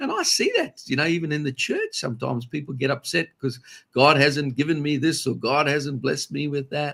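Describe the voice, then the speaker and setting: A man with an Australian accent talks at a fairly quick pace, his fairly high pitch held in fairly even intonation. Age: 60s. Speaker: pastor. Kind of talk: casual religious discussion.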